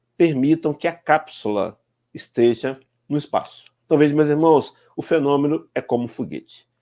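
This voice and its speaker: A man's fairly high voice with a dark, mellow tone, a moderate pace and ordinary pitch variation. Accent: Brazilian. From Brazil. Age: 60s. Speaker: spiritist speaker. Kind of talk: lecture. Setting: live stream.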